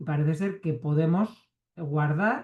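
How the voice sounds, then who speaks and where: The man's dark, mellow tone comes with ordinary pitch variation. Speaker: neuroscience researcher. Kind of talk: talk to reading club.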